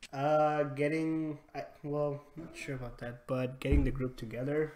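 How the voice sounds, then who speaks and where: A fairly high-pitched man speaks fairly slowly in a monotone, flat delivery. His loudness swings widely. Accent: non-native. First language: not English. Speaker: gaming squad leader. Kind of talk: debrief conversation. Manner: halting.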